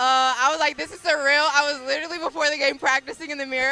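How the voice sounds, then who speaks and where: In a raised, projected voice, a woman talks very fast at a high pitch with an animated tone. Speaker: college basketball player. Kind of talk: post-game interview. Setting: radio booth. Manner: loud.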